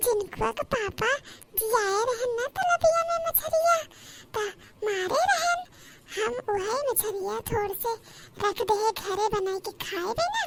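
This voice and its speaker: A female-sounding cartoonish character voice, extremely high in pitch, at a fairly slow pace with long, frequent pauses. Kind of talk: rustic Awadhi comedy. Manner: loud, sing-song hawking.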